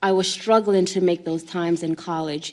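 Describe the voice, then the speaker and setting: This woman speaks with a Jamaican accent. Her pitch sits in the medium range. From Jamaica, then New York City from age six. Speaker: panel speaker, human trafficking survivor. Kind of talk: testimony. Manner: halting, with fillers.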